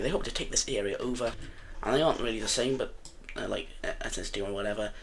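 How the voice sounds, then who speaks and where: Speech runs at a very fast pace. Room echo is audible. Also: man. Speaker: gaming video narrator. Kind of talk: gameplay commentary. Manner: casual, hesitant with many fillers.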